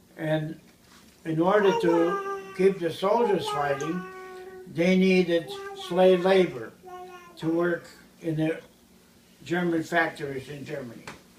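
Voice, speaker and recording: Speaking very slowly with long, frequent pauses, a man with a high pitch keeps a fairly even intonation over noticeable background noise. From Ukraine. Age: 70s. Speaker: priest. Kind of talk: interview.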